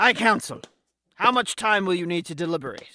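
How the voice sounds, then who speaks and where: A put-on character voice comes at a fairly quick pace and a middle pitch. The recording is very clean, with a silent background. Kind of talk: courtroom speech. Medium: audio drama. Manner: formal, authoritative.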